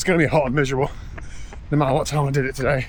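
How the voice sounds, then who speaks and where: A man speaks with an English accent. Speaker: triathlete vlogger. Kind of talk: casual vlog. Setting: outdoors.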